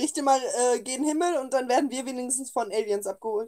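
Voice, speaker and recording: A woman's high-pitched voice holds a medium tempo. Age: 20s. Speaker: podcast co-host. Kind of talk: casual chat.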